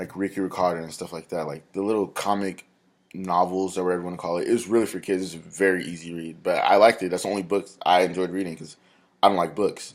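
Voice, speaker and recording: A man with an American accent mumbles at a very fast pace in a very deep, low pitch, with big swings in loudness, on a very clean recording with a silent background. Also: fairly even intonation. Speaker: college student. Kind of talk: class presentation video. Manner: mumbling.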